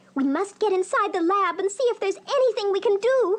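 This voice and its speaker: A cartoonish character voice, female-sounding, squeaky and sing-song, at an extremely high pitch. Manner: sing-song, fretful.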